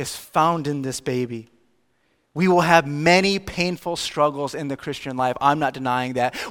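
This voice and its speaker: Ordinary pitch variation marks a man's fairly high-pitched voice in a very clean recording with a silent background. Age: 30s. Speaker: pastor. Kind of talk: sermon.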